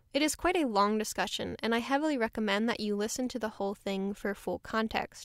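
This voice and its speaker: A woman's normal speaking voice, fairly high in pitch with ordinary pitch variation, on a very clean recording with a silent background. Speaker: video essayist narrator. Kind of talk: scripted narration, video essay. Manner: measured, explanatory, formal.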